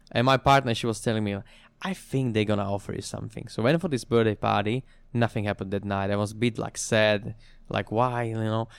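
This is a man with a Slovak accent talking at a very fast pace. The recording is very clean, with a silent background. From Slovakia. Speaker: bartender and coffee consultant. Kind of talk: interview.

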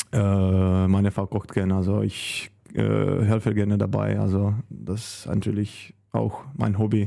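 A man with a Czech accent talks at a very slow pace. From Czech Republic. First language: Czech (speaking German). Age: 30s. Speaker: handball goalkeeper. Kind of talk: casual interview.

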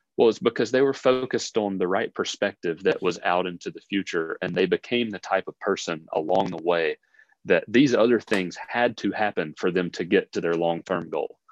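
The delivery moves at a moderate pace with ordinary pitch variation. It is a normal speaking voice. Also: man, fairly low pitch for a man. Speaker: podcast co-host and businessman. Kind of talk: casual interview.

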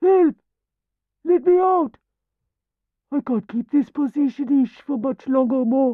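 Using a put-on character voice, a man speaks at an extremely high pitch with lively intonation and a slow pace. The sound is dry and close, with no echo.

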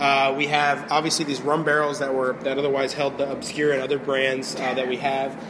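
A man with an American accent talks at a fairly quick pace in a fairly high pitch, over noticeable background noise. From Florida (St. Petersburg area). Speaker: brewmaster. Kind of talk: casual interview. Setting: brewery. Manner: hesitant, many fillers.

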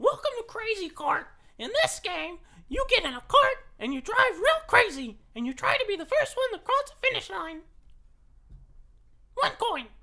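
In a put-on character voice with an extremely high pitch and a cheerful, excited tone, the speaker talks at a moderate pace with long, frequent pauses. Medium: actual play.

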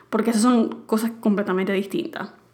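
A woman is talking. Noticeable background noise can be heard. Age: 20s. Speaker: podcast host. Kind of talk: advice monologue.

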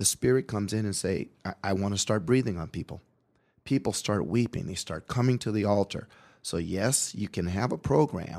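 In a very clean recording with a silent background, a man uses a normal speaking voice with an American accent. He talks at a moderate pace and a fairly low pitch. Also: ordinary pitch variation. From Portland, Oregon. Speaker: pastor. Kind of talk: radio interview. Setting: studio.

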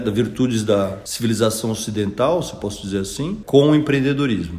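Lively intonation marks this man's speech, at a moderate pace with hardly any pauses. Noticeable background noise can be heard. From interior of São Paulo state, Piracicaba. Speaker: school founder, former lawyer and investor. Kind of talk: interview. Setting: at the school.

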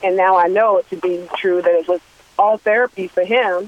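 This woman speaks at a medium pitch with an American accent and fairly even intonation. Noticeable background noise runs underneath. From Washington D.C. area. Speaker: singer. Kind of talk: radio interview.

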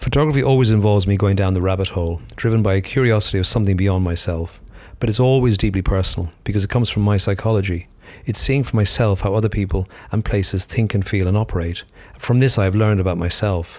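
A man talks at a very fast pace with a fairly low pitch. His loudness stays very even. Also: ordinary pitch variation. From Ireland. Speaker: photographer. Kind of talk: scripted reflective statement, pre-recorded audio.

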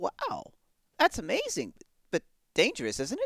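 A put-on character voice carries the words along at a moderate pace. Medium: audio drama. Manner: polite, earnest.

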